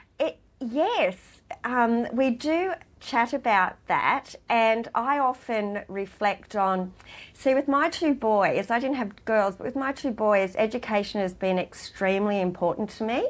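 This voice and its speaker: A woman with an Australian accent at a fairly high pitch and fairly slow pace, on a very clean recording with a silent background. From rural New South Wales, Australia. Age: 50s. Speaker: charity worker and former client. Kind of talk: interview.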